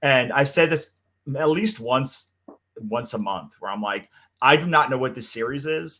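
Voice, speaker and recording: The voice is loud. Its tone is bright and sharp. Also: man. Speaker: comics creator and podcast co-host. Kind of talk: casual chat. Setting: live stream.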